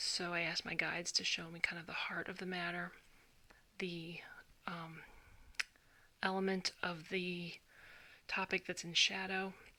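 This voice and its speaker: This soft-spoken voice keeps a moderate pace. Long, frequent pauses break it up. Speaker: tarot reader. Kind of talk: tarot reading video. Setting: at home at night. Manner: halting.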